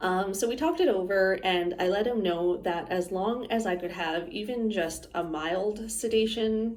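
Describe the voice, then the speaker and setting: Audible room echo and noticeable background noise around speech at a moderate pace, its pitch varying in an ordinary way. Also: woman. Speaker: vlogger sharing health experience. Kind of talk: casual personal vlog. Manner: casual, with frequent fillers.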